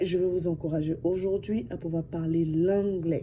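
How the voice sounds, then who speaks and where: A woman speaks in a dark, mellow tone. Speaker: vlogger. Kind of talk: casual talk to camera. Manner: soft-spoken; talkative.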